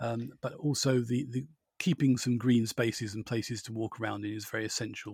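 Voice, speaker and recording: The speech moves at a fairly quick pace, somewhat breathy, with fairly even intonation. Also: man, medium pitch for a man. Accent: southern English. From Borehamwood, Hertfordshire, England. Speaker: podcast host. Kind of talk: casual chat.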